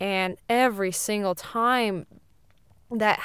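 In an American accent, the speaker uses ordinary pitch variation on a very clean recording with a silent background. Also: woman. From Siberia, Russia (American family). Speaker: podcast co-host. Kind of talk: casual chat.

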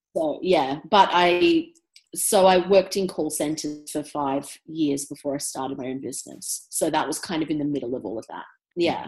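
A woman with an Australian accent and a very deep, low pitch talks at a moderate pace with ordinary pitch variation and big swings in loudness. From Australia, Brisbane. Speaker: entrepreneur. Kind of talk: interview.

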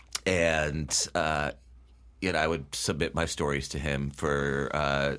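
A man with an American accent speaks at a very deep, low pitch with vocal fry and monotone, flat intonation. The recording is very clean with a silent background. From Connecticut (Bethel). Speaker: writer, former newspaper reporter. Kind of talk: interview.

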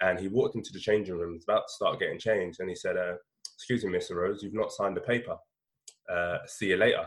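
A man rattles along at a very fast pace in a London accent. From London (north-west). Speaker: education business founder. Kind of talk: interview.

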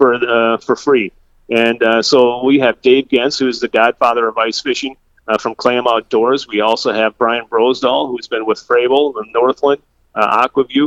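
Medium in pitch, a man with an Upper Midwest accent speaks at a moderate pace with fairly even intonation in a dry, close sound with no echo. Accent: Upper Midwest American. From southwest Minnesota. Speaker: bait shop owner and meteorologist. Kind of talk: casual interview.

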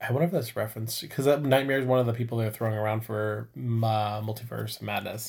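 A man talks at a very fast pace with hardly any pauses. His voice is somewhat breathy and medium in pitch, with fairly even intonation. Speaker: podcast co-host. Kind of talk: casual chat.

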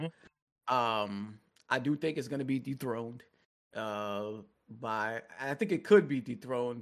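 A man has an ordinary speaking voice at a medium pitch with ordinary pitch variation. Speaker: guest co-host, gaming commentator. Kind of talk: casual chat. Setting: video call.

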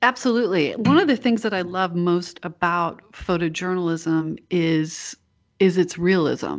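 A woman with an American accent speaks at a fairly low pitch. Her pace is fairly slow, with ordinary pitch variation. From US South, North Carolina. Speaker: photographer and workshop teacher. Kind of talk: casual interview conversation. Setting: remote call. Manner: positive, upbeat, laughs often.

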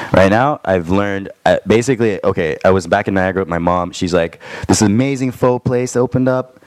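A plain, everyday voice with a Canadian accent and ordinary pitch variation. The pace is fairly quick. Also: man, fairly low pitch for a man. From Toronto, Canada. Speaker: musician. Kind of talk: casual chat. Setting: studio.

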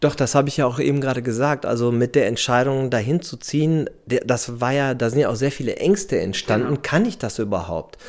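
At a fairly quick pace, with lively intonation and hardly any pauses, the speaker uses an ordinary speaking voice. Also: man, medium pitch for a man. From Germany, Dortmund (Ruhr area). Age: 40s. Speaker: surfer who emigrated. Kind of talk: interview.

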